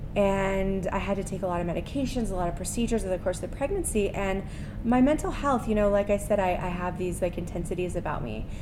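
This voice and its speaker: Over music in the background, a woman talks at a very fast pace with medium pitch and ordinary pitch variation, and the room echo is audible. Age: 30s. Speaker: mindfulness teacher. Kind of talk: casual interview.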